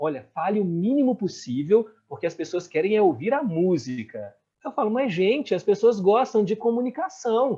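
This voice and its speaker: This man's voice sits high in pitch and has a dark, mellow tone. His pitch swings very widely. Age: young. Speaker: radio host and journalist. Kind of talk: interview conversation. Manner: fast-talking.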